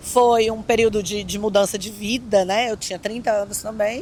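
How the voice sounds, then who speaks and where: A woman with a Brazilian accent and a fairly high pitch. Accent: regional Brazilian. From Brazil, Brasília. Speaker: kitesurfing coach. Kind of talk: interview.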